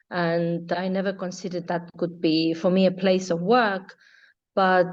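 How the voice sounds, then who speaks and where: The speaker has an Estonian accent. The pace is fairly slow. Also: woman. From Estonia, Tartu. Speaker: yacht interior designer. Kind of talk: interview conversation.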